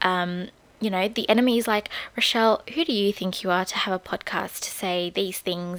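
Her pitch sits at a medium level and varies in an ordinary way. The woman talks at a moderate pace. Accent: Australian. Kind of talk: casual solo talk with faith themes. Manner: casual, many fillers.

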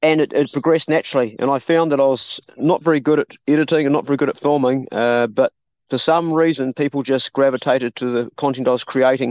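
With a New Zealand accent, a man with a fairly high voice rattles along very fast with hardly any pauses, his loudness very even and his intonation fairly even, in a dry, close sound with no echo. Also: quiet background. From New Zealand, South Island. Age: 50s. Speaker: survivalist YouTuber and homesteader. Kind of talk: casual chat. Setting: outdoors, remote call. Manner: halting.

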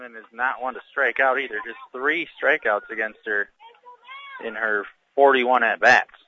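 The man has an ordinary speaking voice at medium pitch, moving at a moderate pace with fairly even intonation and big swings in loudness. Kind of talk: color commentary alongside the play-by-play call. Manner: conversational, steady, informative, with stats and pitch-by-pitch description.

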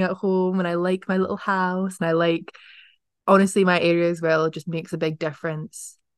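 Speaking in an Edinburgh accent, a woman holds a medium pitch and a monotone, flat intonation. Her pace is moderate, and the background is quiet. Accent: Scottish (Edinburgh). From Scotland, Edinburgh. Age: 20s. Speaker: journalism student. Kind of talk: casual chat. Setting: in person at university.

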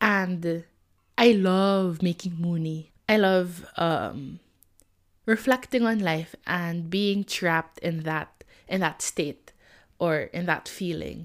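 Speaking at a very slow pace, a woman uses a fairly low pitch with ordinary pitch variation. The recording is very clean with a silent background. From Philippines. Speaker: podcaster. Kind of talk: casual monologue. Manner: informal, unscripted.

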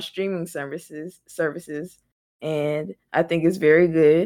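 In an American accent, a woman talks at a moderate pace and a fairly low pitch. Hers is a plain, everyday voice. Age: 20s. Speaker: podcast co-host, college student. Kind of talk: casual chat.

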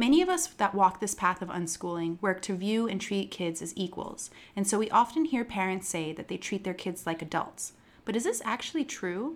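A woman with an unremarkable speaking voice talks at medium pitch. Her intonation is lively and her pace moderate. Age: 40s. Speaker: podcast co-host. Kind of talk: scripted narration; casual chat.

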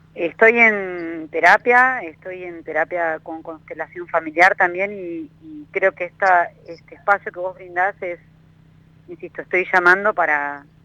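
Over a dry, close sound with no echo, a woman speaks at a fairly slow pace with a fairly low pitch, a bright, sharp tone, fairly even intonation, and big swings in loudness. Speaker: caller. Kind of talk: phone-in consultation. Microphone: delay on the line.

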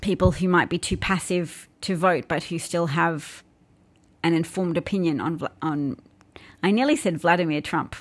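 On a very clean recording with a silent background, a woman speaks at a moderate pace and a fairly low pitch with ordinary pitch variation. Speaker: political commentary livestreamer and podcaster. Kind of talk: livestream political commentary monologue. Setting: live Periscope and YouTube broadcast. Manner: self-described boring vocal tone.

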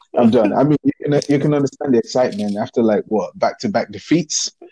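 At a medium pitch and a fairly quick pace, a man speaks in a dark, mellow tone with a slightly husky edge and ordinary pitch variation.

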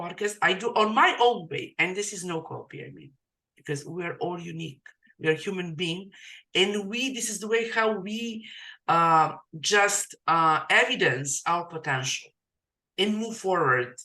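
Lively intonation marks this woman's bright, sharp voice, spoken with a non-native accent. Her pace is moderate. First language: not English. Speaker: podcast host and digital marketing coach. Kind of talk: casual interview. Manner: halting, filler-heavy.

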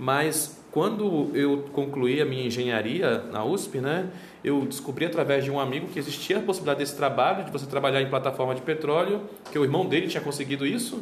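Noticeable background noise and audible room echo around a male voice, fairly high in pitch, its pitch varying in an ordinary way. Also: fairly quick pace. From Brazil, Belém do Pará. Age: 30s. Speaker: travel miles and credit card specialist. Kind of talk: interview.

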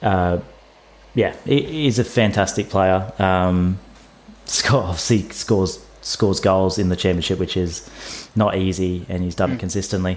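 Very deep and low, a man's voice carries ordinary pitch variation at a moderate pace. His loudness swings widely. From Wollongong, Australia. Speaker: podcast co-host, football fan. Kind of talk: casual chat.

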